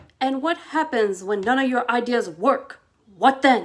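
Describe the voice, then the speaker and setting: A woman uses a put-on character voice, gruff and high-pitched. She speaks at a moderate pace. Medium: read story. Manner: grumpy, gruff.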